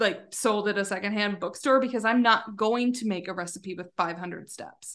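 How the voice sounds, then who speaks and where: A woman talks in a plain, everyday voice at a medium pitch. Her pace is moderate, her intonation fairly even, and the background quiet. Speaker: business consultant. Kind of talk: casual interview chat.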